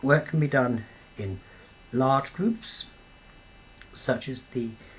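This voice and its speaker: With noticeable background noise, a man talks at a fairly slow pace in a British accent, his intonation fairly even. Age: 70s. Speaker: peace campaigner. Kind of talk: interview. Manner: halting, many fillers.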